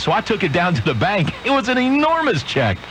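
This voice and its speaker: A man speaks very fast with an American accent, his pitch swinging very widely. Noticeable background noise runs behind him. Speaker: radio DJ. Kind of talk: casual joke told on air. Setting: AM radio broadcast, recorded off air on a cassette recorder with slight distortion.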